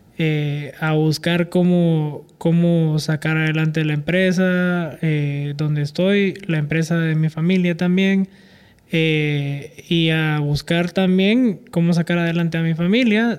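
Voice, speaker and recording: Speaking very slowly, a man with a high-pitched voice keeps his intonation fairly even and his loudness very even. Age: 30s. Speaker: accountant and amateur runner. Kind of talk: interview.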